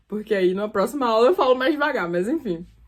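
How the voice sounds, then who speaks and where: In an animated tone, a woman with a fairly high pitch speaks with very wide pitch swings. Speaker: creative writing teacher. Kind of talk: online lecture. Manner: fast.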